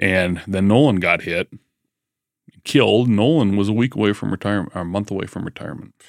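A man's fairly low voice at a fairly quick pace, with ordinary pitch variation, on a very clean recording with a silent background. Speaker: electrician and cigar enthusiast. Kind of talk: casual chat over drinks.

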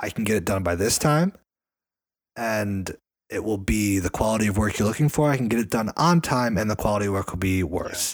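The speaker has an ordinary speaking voice with ordinary pitch variation. Delivery is fairly quick, on a very clean recording with a silent background. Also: man, fairly low pitch for a man. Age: 20s. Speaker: podcast co-host. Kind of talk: casual chat.

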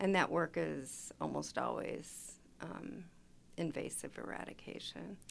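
A woman with a Chicago accent at a fairly slow pace. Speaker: chapter president, retired data analyst. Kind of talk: casual radio interview. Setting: studio.

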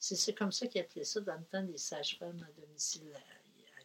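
At a moderate pace, a woman speaks with a medium pitch, a somewhat breathy voice and fairly even intonation. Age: 70s. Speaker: retired midwife. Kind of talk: interview.

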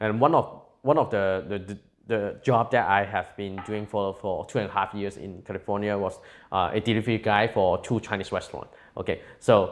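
Against a quiet background, a man with a Cantonese accent speaks at a fairly quick pace in a fairly low pitch with fairly even intonation. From Hong Kong. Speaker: tech entrepreneur. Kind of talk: interview. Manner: halting.

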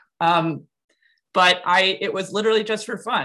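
A woman with an American accent, a bright, sharp tone and ordinary pitch variation. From US Midwest, Wisconsin. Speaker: comic creator and art teacher. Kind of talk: casual interview.

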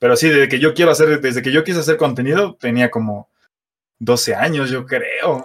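A man with a Mexico City accent at a fairly high pitch and moderate pace, with ordinary pitch variation, in a very clean recording with a silent background. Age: 20s. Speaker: car content creator. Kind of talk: casual chat.

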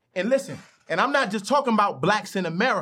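A man projects his voice in a raised, bright and sharp tone with lively intonation. The recording is very clean, with a silent background. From Chicago, South Side. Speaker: rapper and activist. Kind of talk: casual interview. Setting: studio.

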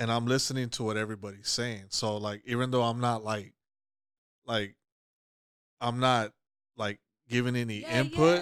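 The recording is very clean, with a silent background. A man speaks at a medium pitch. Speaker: podcast co-host. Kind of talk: casual chat. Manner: sounds blunt, mean-toned.

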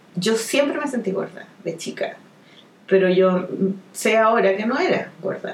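A woman with a Chilean accent and a medium-pitched voice speaks with lively intonation over noticeable background noise. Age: 40s. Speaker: comic artist. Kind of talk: casual chat.

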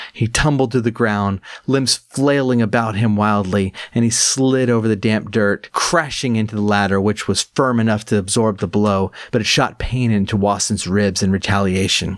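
Against noticeable background noise, a man speaks at a moderate pace with hardly any pauses, a fairly low pitch, fairly even intonation and very even loudness. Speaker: author and audiobook narrator. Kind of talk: reading aloud a gothic fantasy audiobook, in a measured, storytelling cadence. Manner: measured, descriptive, steady narration.

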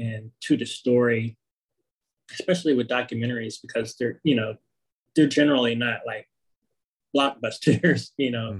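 Somewhat breathy speech from a man with an American accent, medium pitch, ordinary pitch variation and a moderate pace. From Pittsburgh, Pennsylvania. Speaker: documentary filmmaker. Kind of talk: interview. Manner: halting, many fillers.

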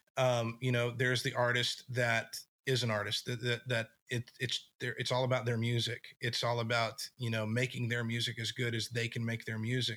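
With an American accent, a man talks at medium pitch in a bright, sharp tone with monotone, flat intonation. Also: moderate pace. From West Texas, small town. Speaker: musician and event producer. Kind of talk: casual interview chat. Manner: halting, many fillers and restarts.

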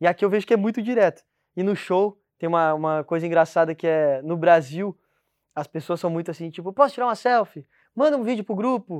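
The speaker has a Brazilian accent and talks at a fairly quick pace. The background is quiet. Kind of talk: casual chat. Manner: halting.

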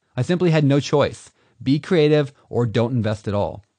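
A dark, mellow tone moves at a fairly quick pace over a quiet background. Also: man. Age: 30s. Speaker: author narrating his own audiobook. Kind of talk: audiobook narration.

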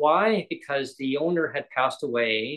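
A man speaks in a plain, everyday voice with a Canadian accent. His pitch is fairly high, and his pace is fairly slow. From British Columbia, Canada (Langley). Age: 50s. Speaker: podcast host. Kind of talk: casual chat.

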